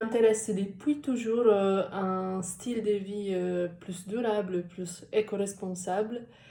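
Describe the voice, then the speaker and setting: A woman speaks very slowly with hardly any pauses, at medium pitch, in a dark, mellow tone with fairly even intonation and big swings in loudness. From Italy. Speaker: social media manager and copywriter. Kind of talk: interview answer. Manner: hesitant, many filler sounds.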